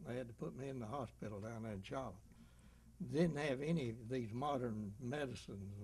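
The man's voice has a somewhat breathy quality. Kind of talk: interview answer.

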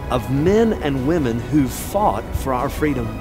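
With clear music in the background, a man talks with lively intonation. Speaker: pastor. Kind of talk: film host narration. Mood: earnest, patriotic. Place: waterside.

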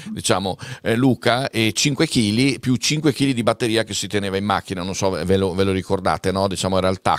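A man with a normal speaking voice talks at a fairly quick pace with ordinary pitch variation. The sound is dry with no echo, and the background is quiet. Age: 60s. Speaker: event moderator. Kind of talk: hosted panel discussion. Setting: studio. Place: studio. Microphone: studio mic.

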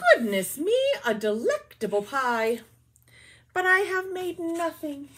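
This put-on character voice mumbles at a fairly slow pace, with very wide swings in pitch. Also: woman, high pitch for a woman. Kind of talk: bedtime story. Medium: read story. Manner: mumbling, sighing. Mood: touched, a bit sad.

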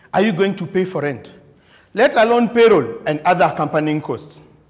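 A man's pitch swings very widely over a quiet background. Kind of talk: prepared contest speech. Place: meeting room.

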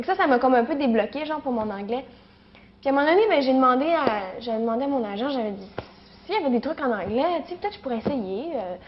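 A woman with a Quebec accent talks at a very fast pace in a high voice, her intonation lively and her loudness swinging widely. Noticeable background noise sits behind her. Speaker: actress. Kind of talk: interview. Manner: halting, many fillers.

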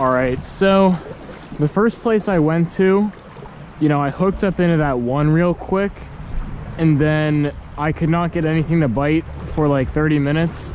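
Speech comes at a fairly slow pace, broken by long, frequent pauses. The sound is dry with no echo, over light background noise. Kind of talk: casual vlog chat. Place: waterside. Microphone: phone near.

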